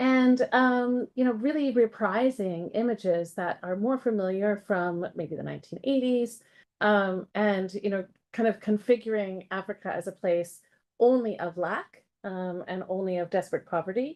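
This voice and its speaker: An ordinary speaking voice from a woman with an American accent, medium pitch and moderate pace. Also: ordinary pitch variation. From United States. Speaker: professor. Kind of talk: academic seminar talk. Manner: many filler words (um, uh).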